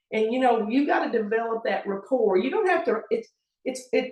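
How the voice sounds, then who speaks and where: An animated, high-pitched woman's voice with very wide pitch swings. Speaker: basketball referee and TV analyst. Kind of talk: interview conversation.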